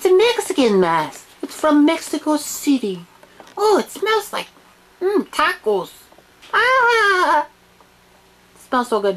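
Her extremely high voice makes very wide pitch swings, and the woman leaves long, frequent pauses. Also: fairly slow pace. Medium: comedy sketch. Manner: excitable, scolding.

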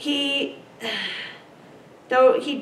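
Through light background noise and audible room echo, a woman speaks very slowly with ordinary pitch variation. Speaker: pastor, preacher. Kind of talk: sermon anecdote, casual conversational storytelling. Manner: animated, amused. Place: meeting room. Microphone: camera far.

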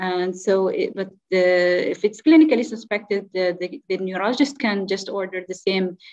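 The speech, in an Arabic accent, moves at a moderate pace. The background is quiet. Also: woman. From Oman. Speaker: clinical geneticist. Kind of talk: conference talk. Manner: halting. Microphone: video call.

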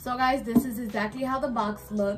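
Over light background noise, a woman with an American accent and a normal speaking voice talks at a fairly quick pace with ordinary pitch variation. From New York. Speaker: vlogger. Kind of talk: sponsored product review to camera. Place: home room. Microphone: phone near.

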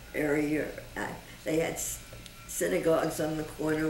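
This woman's voice is very deep and low, at a moderate pace, with audible room echo and noticeable background noise. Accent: American. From Brooklyn, New York. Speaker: survivor's wife. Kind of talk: oral history interview. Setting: museum.

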